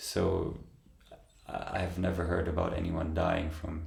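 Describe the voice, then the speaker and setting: Through noticeable background noise and audible room echo, a man delivers a very deep, low voice in monotone, flat intonation. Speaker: meditation channel host. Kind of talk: Q&A answering viewer questions. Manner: slow; halting.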